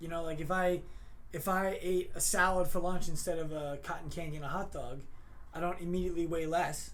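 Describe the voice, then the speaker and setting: A loud, high-pitched male voice with fairly even intonation and audible room echo. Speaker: chiropractor. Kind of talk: casual Q&A on Instagram live.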